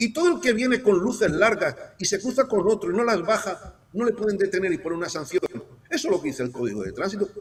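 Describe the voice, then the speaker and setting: A man at a high pitch, very fast, with very wide pitch swings amid noticeable background noise. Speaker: guest analyst. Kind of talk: talk show discussion. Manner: animated.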